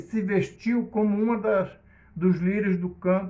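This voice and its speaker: Amid audible room echo, a man with a high pitch speaks at a fairly slow pace. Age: 60s. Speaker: preacher. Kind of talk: sermon.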